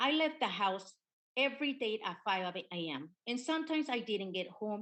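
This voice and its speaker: This woman has a Spanish accent and a fairly high pitch. Her pitch swings very widely. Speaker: witness at congressional hearing. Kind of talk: testimony. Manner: halting.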